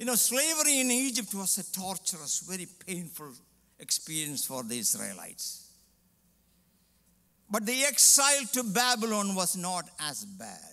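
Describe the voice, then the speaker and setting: A man's raised, projected voice with a bright, sharp tone, at a moderate pace over a quiet background. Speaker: preacher. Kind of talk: sermon. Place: church. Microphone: headset.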